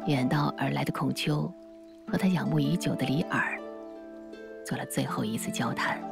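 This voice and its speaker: Music plays in the background as a woman speaks at a moderate pace. Her pauses are long and frequent. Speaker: documentary narrator. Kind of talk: documentary narration.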